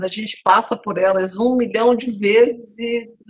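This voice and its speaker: A woman speaks at a fairly slow pace with ordinary pitch variation. She has a plain, everyday voice. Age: 60s. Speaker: TV talk show host. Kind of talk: TV panel discussion.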